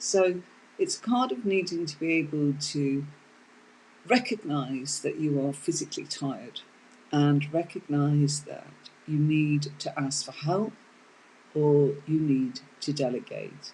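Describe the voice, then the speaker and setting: Speaking with a British accent, a woman uses a very deep, low, dark and mellow voice that is somewhat breathy, with ordinary pitch variation, a fairly slow pace, and long, frequent pauses. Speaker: tarot teacher. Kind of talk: live online tarot lesson. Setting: live stream.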